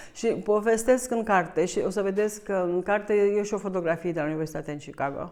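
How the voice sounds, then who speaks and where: A woman talks at a very fast pace with hardly any pauses, her medium pitch rising and falling in an ordinary way. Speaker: author. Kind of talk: book launch talk. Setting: bookshop event with audience. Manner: halting, with fillers.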